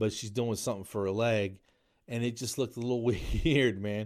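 On a very clean recording with a silent background, a man speaks in an American accent at a medium pitch and moderate pace with ordinary pitch variation. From New Jersey, US. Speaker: podcast host and comedian. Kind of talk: casual monologue. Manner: frequent fillers (um, uh).

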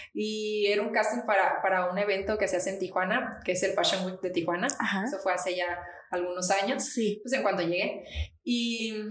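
In a room with audible echo and noticeable background noise, a woman of medium pitch speaks at a moderate pace with fairly even intonation. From Mexico, Nayarit. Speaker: model. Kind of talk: interview.

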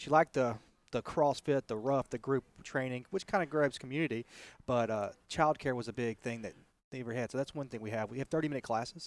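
The speech comes at a very fast pace with a dry, close sound and no echo. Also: man, medium pitch for a man, ordinary pitch variation. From US South, Texas. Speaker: fitness franchise co-founder. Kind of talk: interview. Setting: outdoors in a park.

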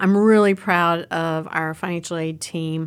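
The recording is very clean, with a silent background. A woman talks with an American accent. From Southwestern Virginia, US. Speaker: financial aid dean. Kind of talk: casual interview.

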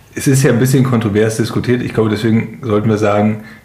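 Amid noticeable background noise and audible room echo, a man talks at a very fast pace in a medium pitch. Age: 30s. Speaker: podcast co-host. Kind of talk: casual chat.

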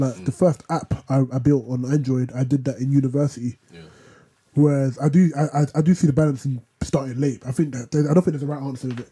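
A man with a London accent talks very fast at a fairly high pitch, with ordinary pitch variation and big swings in loudness. His tone is dark and mellow, and somewhat breathy. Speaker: podcast co-host. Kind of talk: casual chat.

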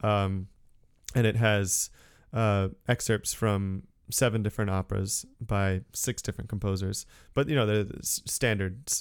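A man with an American accent speaks in an ordinary speaking voice, pitched fairly low. His intonation stays fairly even, and the very clean recording has a silent background. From Connecticut. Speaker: opera singer. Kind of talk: casual chat.

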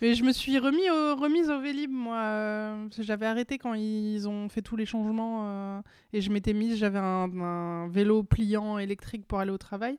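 At a moderate pace, a woman uses an ordinary speaking voice with a fairly high pitch and ordinary pitch variation. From Seine-et-Marne, Île-de-France. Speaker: comedian. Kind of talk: casual chat.

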